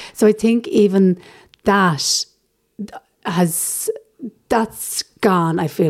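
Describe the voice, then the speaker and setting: The speaker is a woman. She has an Irish accent. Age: 30s. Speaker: stand-up comedian. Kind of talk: casual interview.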